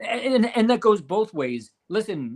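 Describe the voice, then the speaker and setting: Here a man talks with very wide pitch swings. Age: 50s. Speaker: bowling podcast co-host and pro shop worker. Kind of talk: casual chat. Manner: animated.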